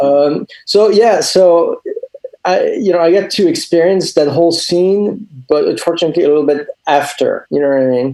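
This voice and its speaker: A man talks at a moderate pace with a high pitch and ordinary pitch variation. His loudness stays very even. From France. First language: French. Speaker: comic book artist and animator. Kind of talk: interview. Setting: video call.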